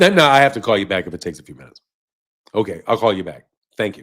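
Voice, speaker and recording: A man puts on a raspy character voice at a fairly low pitch. His intonation is lively and his pace very fast. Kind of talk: polished professional phone voice, code-switched.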